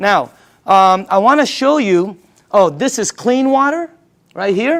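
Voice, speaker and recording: On a very clean recording with a silent background, a high-pitched man speaks at a fairly slow pace in an animated tone with lively intonation. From Philippines. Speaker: sales presenter. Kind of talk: sales pitch.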